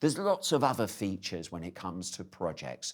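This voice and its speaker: A man with a British accent, fairly low pitch, very wide pitch swings and a moderate pace. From UK. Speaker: conference speaker on AI in project management. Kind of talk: conference presentation. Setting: live online conference, venue in Belgium.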